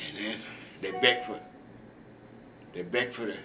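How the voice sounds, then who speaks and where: A man's medium-pitched voice in a Southern US accent, at a moderate pace with ordinary pitch variation, over noticeable background noise. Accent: Southern American English. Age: 80s+. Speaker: retired school teacher. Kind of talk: interview answer.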